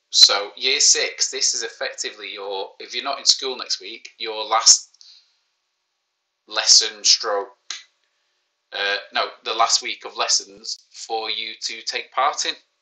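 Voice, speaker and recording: A man speaks in a Manchester accent at a very slow pace. His loudness swings widely, and his pauses are long and frequent. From Manchester, England. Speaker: primary school teacher. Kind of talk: live online maths lesson. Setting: live stream. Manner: casual, joking.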